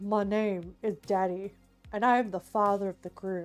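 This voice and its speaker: With faint music in the background, a female-sounding put-on character voice speaks at a middle pitch and a moderate pace. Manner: deep, formal, respectful.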